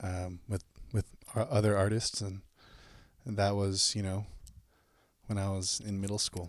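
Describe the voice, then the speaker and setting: Over a very clean recording with a silent background, a soft-spoken man with an American accent and a fairly low pitch speaks in a flat monotone, leaving long, frequent pauses. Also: moderate pace. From US Pacific Northwest (north Seattle, Shoreline). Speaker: musician. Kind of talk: podcast interview.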